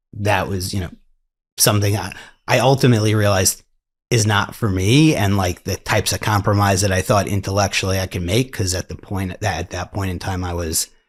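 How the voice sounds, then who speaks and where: A man with an American accent and a somewhat breathy voice speaks at a fairly quick pace in a very clean recording with a silent background. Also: fairly low pitch for a man. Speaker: lawyer. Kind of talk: interview. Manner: halting.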